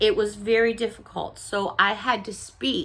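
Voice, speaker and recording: Loud and with vocal fry, a woman speaks in a bright, sharp tone on a very clean recording with a silent background. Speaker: YouTube haul vlogger. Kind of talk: casual chat.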